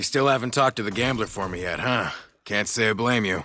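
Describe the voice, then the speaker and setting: A man's raspy, put-on character voice at medium pitch, delivered at a very fast pace. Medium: video game. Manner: profane, anxious.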